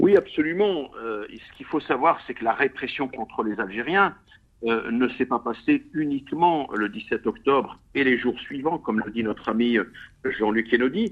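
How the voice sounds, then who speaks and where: A man's ordinary speaking voice at a moderate pace, with lively intonation. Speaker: theatre author. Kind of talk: radio interview.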